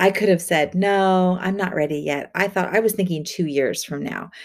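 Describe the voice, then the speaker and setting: A woman's normal speaking voice, a normal speaking voice at medium pitch with ordinary pitch variation and a fairly slow pace, on a very clean recording with a silent background. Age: 40s. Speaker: spiritual coach. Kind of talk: podcast monologue; guided visualization.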